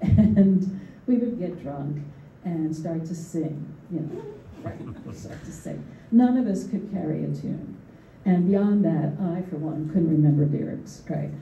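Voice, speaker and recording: Speaking at a fairly slow pace, a woman uses a fairly low pitch and lively intonation, with big swings in loudness. Audible room echo surrounds her voice. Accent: American. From US Northeast, Philadelphia. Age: 70s. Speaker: artist and art educator. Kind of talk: panel discussion. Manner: halting, with many fillers and repetitions.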